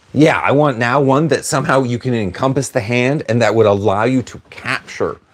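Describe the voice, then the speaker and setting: Delivered in an ordinary speaking voice, the speech moves at a fairly quick pace with ordinary pitch variation on a very clean recording with a silent background. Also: man. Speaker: livestreamer and martial arts instructor. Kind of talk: livestream chat reading viewer comments.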